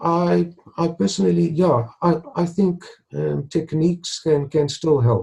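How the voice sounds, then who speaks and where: Very slow and somewhat breathy, a man speaks with a dark, mellow tone. His fairly high pitch swings very widely. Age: 60s. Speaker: retired stuttering blogger. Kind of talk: interview. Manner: halting, with repetitions and fillers.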